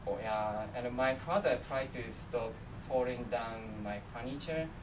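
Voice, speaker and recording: A man with a Japanese accent talks at a fairly slow pace and medium pitch with ordinary pitch variation. Audible room echo and noticeable background noise surround his voice. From Japan, Miyagi prefecture. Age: 20s. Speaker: international student presenter. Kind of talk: presentation. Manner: halting.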